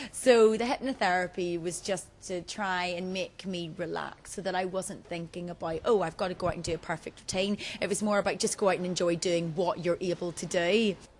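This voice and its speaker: A woman's medium-pitched voice at a fairly quick pace, with hardly any pauses. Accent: Northern Irish. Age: 20s. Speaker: TV presenter and reality show contestant. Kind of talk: interview. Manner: animated.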